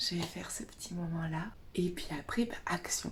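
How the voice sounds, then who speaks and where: A woman whispers at a fairly slow pace, with vocal fry. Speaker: naturopath and essential oils advisor vlogger. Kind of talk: casual vlog. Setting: bedroom at a friend's house, morning. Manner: whispering.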